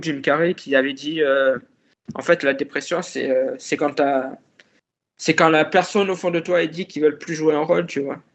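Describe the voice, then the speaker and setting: Moderate-paced speech from a man with a fairly high voice. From Marseille, southern France. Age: 30s. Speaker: podcast guest sharing depression experience. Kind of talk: personal testimony in interview. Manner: halting, many hesitations and repetitions.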